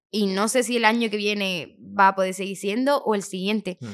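Against a quiet background, a woman speaks fairly quickly at a medium pitch with ordinary pitch variation. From Andalusia, Chiclana (Cádiz); Andalusia. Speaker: singer; podcast guest. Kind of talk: casual interview; interview answer. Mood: lively, candid storytelling. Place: studio. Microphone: studio mic.

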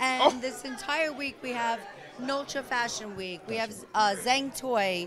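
A woman's high-pitched voice at a moderate pace over faint music in the background. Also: ordinary pitch variation. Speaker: wine and beer brand representative; guest. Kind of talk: promotional interview. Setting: event venue. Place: hall. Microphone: handheld.

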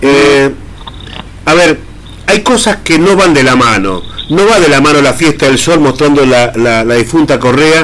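This man has a plain, everyday voice at a fairly high pitch. He uses ordinary pitch variation at a moderate pace. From Argentina. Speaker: radio host. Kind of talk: casual radio chat. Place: studio.

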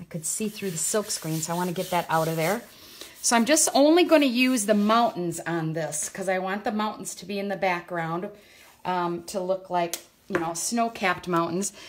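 A woman talks at a moderate pace with ordinary pitch variation amid light background noise. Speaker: craft demonstrator. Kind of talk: live tutorial. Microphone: phone near.

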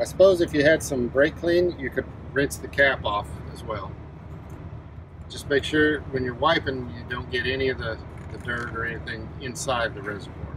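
At a moderate pace, a man talks with big swings in loudness, the sound dry with no echo and noticeable background noise present. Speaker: truck driver demonstrating maintenance. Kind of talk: tutorial. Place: garage. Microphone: phone near.

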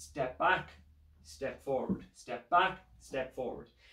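Audible room echo surrounding a male speaker with ordinary pitch variation. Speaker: fitness instructor. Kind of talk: tutorial. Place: home room. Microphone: camera far.

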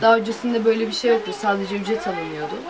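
Her pitch fairly high and her pace very fast, a woman speaks with ordinary pitch variation. Noticeable background noise is present. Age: 20s. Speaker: restaurant worker; interviewee. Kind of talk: street interview. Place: forest.

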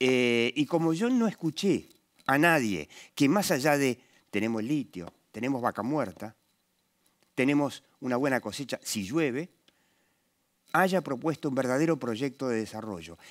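A man speaks at a fairly slow pace with an Argentine accent and lively intonation. Long, frequent pauses break up his speech against a quiet background. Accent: Rioplatense Argentine Spanish. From Argentina. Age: 60s. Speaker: political talk show host; TV commentator. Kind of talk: interview talk show. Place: studio. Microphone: headset.

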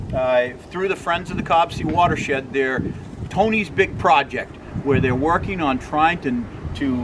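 A man talks at a moderate pace, his pitch varying in an ordinary way, with noticeable background noise behind him. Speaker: presenter. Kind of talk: promotional vlog talk. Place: street. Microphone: camera far.

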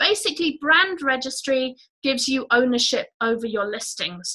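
Against a quiet background, a woman with a high pitch uses a raised, projected voice, lively intonation and a moderate pace. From Guernsey, Channel Islands. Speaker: online business educator. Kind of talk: live webinar presentation. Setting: live video call stream. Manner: animated. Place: home room. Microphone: webcam.

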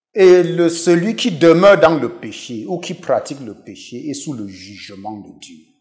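Over a quiet background, a man with a high pitch talks at a fairly slow pace, using very wide pitch swings and big swings in loudness. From western Cameroon. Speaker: professor and pastor. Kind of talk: interview testimony. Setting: TV studio. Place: studio. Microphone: lapel.

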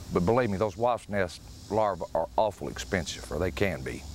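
A man's lively intonation in a Tennessee accent, dry with no echo, over light background noise. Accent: Southern US (Tennessee). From US South. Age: 50s. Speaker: fishing instructor. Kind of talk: tutorial. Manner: casual.

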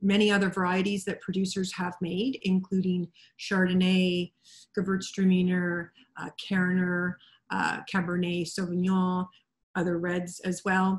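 Speaking at a fairly slow pace, a woman has a somewhat breathy, medium-pitched voice. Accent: Canadian. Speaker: wine representative presenter. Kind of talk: online presentation. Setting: video call.

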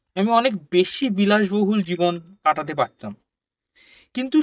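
High male pitch with lively intonation, recorded dry and close with no echo. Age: 20s. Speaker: publisher. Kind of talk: interview. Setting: studio.

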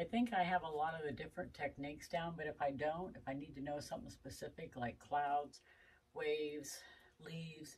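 The voice is somewhat breathy, moving at a fairly quick pace with ordinary pitch variation. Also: woman, very deep, low pitch for a woman. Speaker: RV vlogger. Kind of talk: casual vlog chat. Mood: relaxed, lightly self-deprecating. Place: street. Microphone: phone near.

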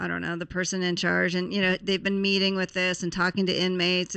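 A woman with an American accent, fairly low in pitch, bright and sharp in tone, at a fairly quick pace against a quiet background. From US West. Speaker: radio talk show host. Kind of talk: radio talk show. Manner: animated. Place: studio. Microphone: studio mic.

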